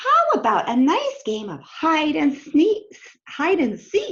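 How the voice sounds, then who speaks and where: This put-on character voice is squeaky and moves at a fairly slow pace. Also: woman, high pitch for a woman. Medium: read story. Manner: dry, unimpressed.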